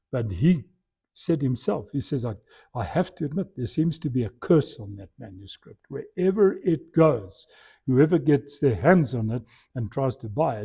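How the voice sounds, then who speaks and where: Recorded very cleanly against a silent background, a man with a dark, mellow, somewhat breathy tone speaks at a moderate pace with very wide pitch swings. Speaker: church lecturer. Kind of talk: lecture. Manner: halting.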